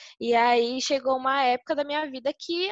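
With a dry, close sound and no echo, a woman with a high pitch and ordinary pitch variation speaks at a fairly slow pace. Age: 20s. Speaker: model and content creator. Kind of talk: casual interview chat.

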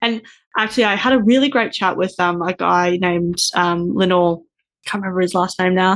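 The speaker has an unremarkable speaking voice and ordinary pitch variation. The pace is fairly quick over a quiet background. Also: woman, medium pitch for a woman. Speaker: podcast host. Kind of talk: interview.

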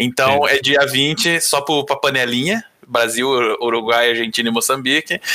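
A man's fairly high voice at a moderate pace, with ordinary pitch variation, very even loudness and noticeable background noise. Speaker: podcast intern and editor. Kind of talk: casual chat.

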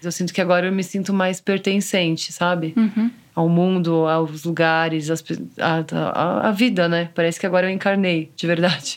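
With an ordinary speaking voice, a woman talks at a moderate pace with a fairly low pitch and fairly even intonation, on a very clean recording with a silent background. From Brazil, São Paulo. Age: 30s. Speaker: photographer and mother. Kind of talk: personal testimony interview.

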